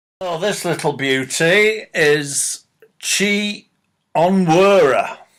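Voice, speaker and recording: With a Manchester accent, a man talks very slowly at a high pitch, showing ordinary pitch variation. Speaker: political commentator vlogger. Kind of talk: opinion rant. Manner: animated.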